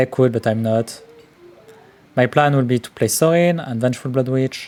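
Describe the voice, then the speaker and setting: A man with a strong French accent speaks at a moderate pace, his medium pitch showing ordinary variation. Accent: strong French accent, self-described terrible. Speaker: card game streamer. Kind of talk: live gameplay commentary.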